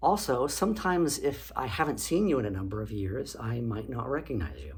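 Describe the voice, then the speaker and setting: Audible echo from the room surrounds a man talking at a moderate pace. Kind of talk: educational talk. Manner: casual, with fillers.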